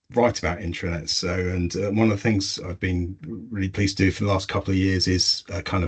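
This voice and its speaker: This man has a very deep, low pitch and a somewhat breathy voice with an English accent. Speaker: intranet consultant. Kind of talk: webinar presentation. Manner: hesitant, many fillers.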